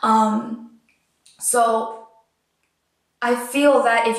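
Against a quiet background with audible room echo, a woman talks at a fairly high pitch. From Puerto Rican background. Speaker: auditioning singer and actress; actress. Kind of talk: audition video monologue. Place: home room.

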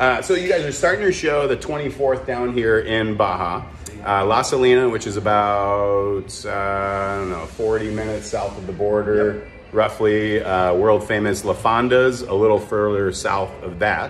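Here is a plain, everyday voice from a man, pitched fairly low with ordinary pitch variation. He keeps a moderate pace over light background noise. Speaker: vlogger host. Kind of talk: casual vlog chat. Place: bar. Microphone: phone near.

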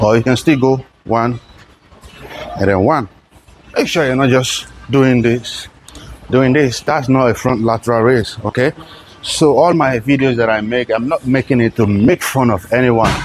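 A man speaks at a moderate pace with very even loudness and long, frequent pauses. Light background noise sits behind him. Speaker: fitness trainer. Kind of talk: tutorial. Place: gym. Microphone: lapel.

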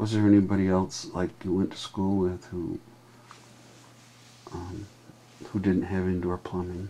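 With light background noise behind him, a man talks fairly slowly in a very deep, low voice, his intonation flat and monotone, broken by long, frequent pauses. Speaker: home vlogger. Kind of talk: casual home conversation. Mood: relaxed, conversational. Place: home room. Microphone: webcam.

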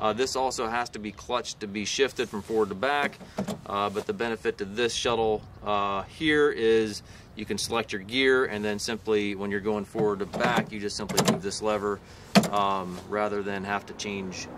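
A man's fairly low voice at a moderate pace, fairly even in intonation, over noticeable background noise. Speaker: tractor salesman. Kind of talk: product walkaround commentary. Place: street. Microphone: phone near.

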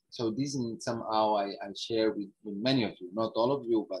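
A man with an Italian accent talks at a moderate pace with ordinary pitch variation over a quiet background. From northern Italy, Alps. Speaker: ecological economics researcher; guest lecturer. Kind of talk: lecture. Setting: video call. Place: home room. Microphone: earbuds.

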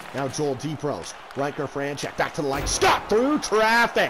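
Noticeable background noise fills the recording. Through it, a man speaks at a moderate pace. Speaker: sports commentator and stats keeper. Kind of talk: live hockey play-by-play commentary. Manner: fills gaps with casual 'uh' hesitations, conversational tone.

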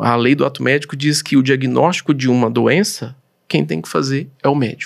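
A man talks at a fairly quick pace with a Goiás accent, his pitch fairly high. The background is quiet. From Goiás, Brazil. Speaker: doctor and professor; professor. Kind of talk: interview. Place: studio. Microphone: studio mic.

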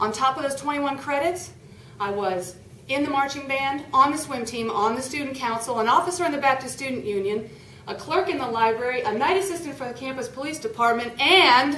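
Lively intonation at a moderate pace, with audible room echo and light background noise. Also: woman. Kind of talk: prepared humorous speech. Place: meeting room. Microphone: camera far.

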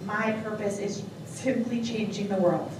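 Noticeable background noise and audible room echo surround a woman speaking with an American accent. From Long Island, New York. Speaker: auctioneer. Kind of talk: contest interview answer. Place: hall.

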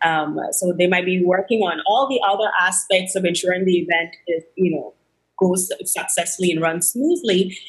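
A somewhat breathy woman at very even loudness, against a quiet background. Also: moderate pace. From Guyana. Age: 20s. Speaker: actress and media entrepreneur. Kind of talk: interview. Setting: video call. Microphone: video call.

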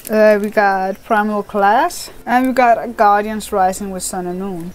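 There is light background noise as a woman speaks at a moderate pace with ordinary pitch variation. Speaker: card opening vlogger. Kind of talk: casual vlog chat. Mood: cheerful, giggly. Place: home room. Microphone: webcam.

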